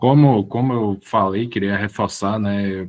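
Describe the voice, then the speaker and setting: Recorded with a dry, close sound and no echo, a man speaks at a fairly low pitch and a fairly slow pace with fairly even intonation. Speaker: professor and public administrator. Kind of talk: online lecture. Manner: halting, many word repetitions.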